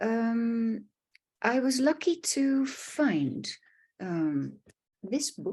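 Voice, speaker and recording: With a Dutch accent, a woman speaks at a very slow pace with long, frequent pauses, at a fairly high pitch with very wide swings and a dark, mellow tone. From Netherlands. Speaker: art therapist. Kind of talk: online presentation. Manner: halting, with fillers.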